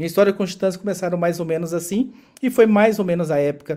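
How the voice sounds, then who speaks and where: Dark, mellow in tone, this voice moves at a fairly quick pace with ordinary pitch variation. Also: man. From Brazil, interior of Goiás. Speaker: podcast host. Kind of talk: casual chat.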